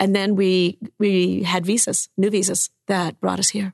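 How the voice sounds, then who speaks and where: Over a quiet background, a woman speaks at a medium pitch and a moderate pace with vocal fry. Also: dry, close sound with no echo. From Cuba. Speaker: storyteller and author. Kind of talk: storytelling.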